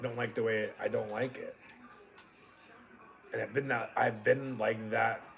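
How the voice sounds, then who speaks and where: Noticeable background noise behind a speaker with an American accent. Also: man. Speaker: livestream host. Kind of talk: casual chat.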